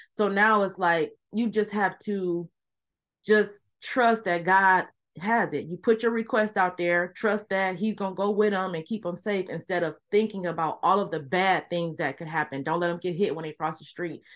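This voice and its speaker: In a quiet background, a woman with an unremarkable speaking voice talks at a moderate pace, her pitch medium with ordinary variation. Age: 40s. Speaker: podcast host. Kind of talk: casual interview. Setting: video call.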